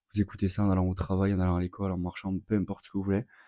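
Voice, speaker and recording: A man's fairly low, dark and mellow voice runs at a very fast pace in a flat monotone, recorded very cleanly against a silent background with a dry, close sound and no echo. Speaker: trader and content creator. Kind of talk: vlog. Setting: at home in apartment. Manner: casual, with many fillers.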